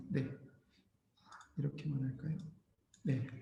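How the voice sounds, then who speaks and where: Vocal fry marks this man's dark, mellow tone, pitched fairly high with fairly even intonation, in audible room echo. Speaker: missionary and seminary professor teaching Bible Indonesian. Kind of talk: lecture.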